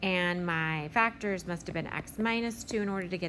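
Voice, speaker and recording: A woman talks in a plain, everyday voice at a moderate pace. Her pitch sits in the medium range. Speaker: math teacher. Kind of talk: tutorial.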